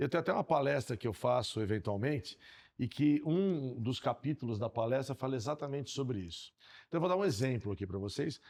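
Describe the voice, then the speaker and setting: With a normal speaking voice at medium pitch, a man talks at a fairly quick pace with lively intonation on a very clean recording with a silent background. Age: 60s. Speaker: podcast co-host. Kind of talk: casual podcast conversation.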